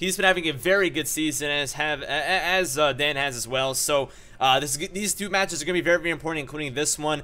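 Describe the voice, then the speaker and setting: Very fast and with hardly any pauses, a man speaks in a bright, sharp, fairly high voice with ordinary pitch variation. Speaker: Pokemon battle commentator. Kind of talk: live gameplay commentary. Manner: animated.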